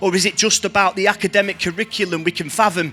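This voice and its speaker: With a northern English accent, the speaker goes at a fairly quick pace and fairly even intonation while music plays in the background. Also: man. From Blackpool, northern England. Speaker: spoken word artist. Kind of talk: spoken word poetry performance.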